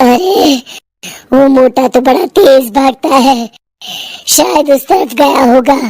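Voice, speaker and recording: A woman does a put-on character voice, high-pitched, with a menacing tone and cackling. She speaks at a fairly slow pace with long, frequent pauses. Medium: cartoon. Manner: cackling, menacing.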